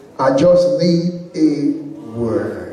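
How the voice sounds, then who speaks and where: With audible room echo, a man's voice moves through very wide pitch swings. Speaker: speaker. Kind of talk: sermon. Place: church. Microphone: handheld.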